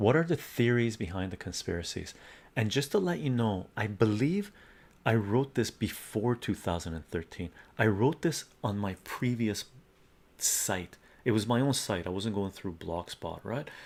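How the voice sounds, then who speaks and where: A soft-spoken man talks at a moderate pace with a fairly low pitch and lively intonation. The recording is very clean, with a silent background. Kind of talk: reading own article aloud.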